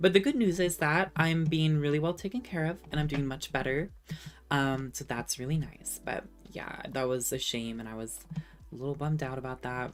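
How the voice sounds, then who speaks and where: With music in the background, a woman with an American accent and a very deep, low pitch talks at a moderate pace, showing ordinary pitch variation and big swings in loudness. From California. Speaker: streamer and video essayist. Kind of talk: casual live stream chat. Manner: casual, many fillers.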